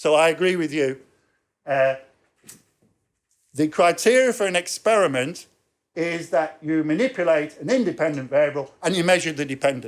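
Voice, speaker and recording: Using an English accent, a man with a fairly high pitch and ordinary pitch variation talks at a moderate pace with long, frequent pauses. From England. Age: 60s. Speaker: professor. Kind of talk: lecture.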